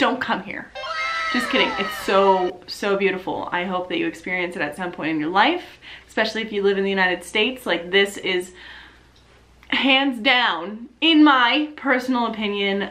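Animated in tone, a woman with an American accent talks at a moderate pace with lively intonation. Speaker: YouTuber and Twitch streamer; YouTuber, Twitch streamer. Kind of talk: casual vlog update. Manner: loud. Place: home room.

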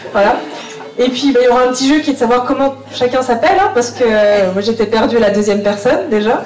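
Over faint music in the background and audible room echo, a woman speaks at a very fast pace with a high pitch, ordinary pitch variation and long, frequent pauses. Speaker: family reunion organizer. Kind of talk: welcome speech to gathered relatives. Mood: warm, friendly. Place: hall.

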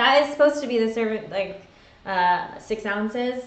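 Audible room echo follows a woman who speaks at a moderate pace in a fairly high voice with ordinary pitch variation. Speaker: video vlog host. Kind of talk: casual livestream chat. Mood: cheerful, friendly. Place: home room. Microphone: webcam.

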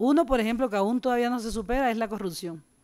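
A very fast pace against a quiet background. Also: woman. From Colombian Caribbean, Montes de María; Colombia. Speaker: community activist; speaker. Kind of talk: panel discussion. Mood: earnest, reflective. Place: hall. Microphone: podium.

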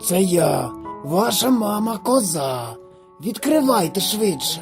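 A gruff, put-on character voice at a middle pitch moves at a fairly slow pace. Clear music plays in the background. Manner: deceptive, feigning a mother's voice.

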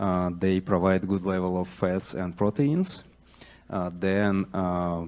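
A man's low pitch and slightly mellow tone at a slow pace, with ordinary pitch variation

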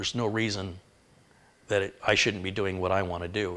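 Delivered at a fairly quick pace with an American accent, the voice has a bright, sharp tone and a monotone, flat intonation. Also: man. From US Midwest. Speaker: tech YouTuber and PC builder. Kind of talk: live-stream tech tutorial. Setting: live stream. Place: kitchen.

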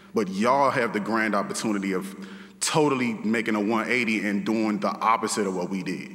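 A man at a fairly low pitch and a fairly quick pace, with ordinary pitch variation. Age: 30s. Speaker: teacher. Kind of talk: graduation speech. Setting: stage with audience. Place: hall. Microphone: podium.

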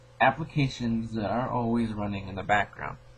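A man speaks with ordinary pitch variation. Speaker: app reviewer. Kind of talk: tutorial. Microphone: phone near.

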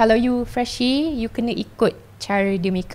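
Speaking at a fairly slow pace is a woman. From Malaysia, Kuala Lumpur; Malaysia. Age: 20s. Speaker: flight attendant; podcast guest. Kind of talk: casual chat. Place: studio. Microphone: studio mic.

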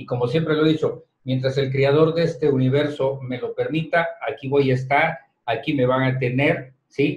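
With a fairly high pitch and monotone, flat intonation, a man talks at a moderate pace, somewhat breathy, with audible room echo. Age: 60s. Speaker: head of the media company, boss of the hosts; radio show guest or host. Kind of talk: casual radio chat. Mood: grateful, reflective. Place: studio.

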